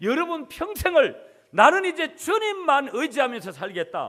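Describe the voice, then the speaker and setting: Male voice with very wide pitch swings. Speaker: pastor. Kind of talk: sermon.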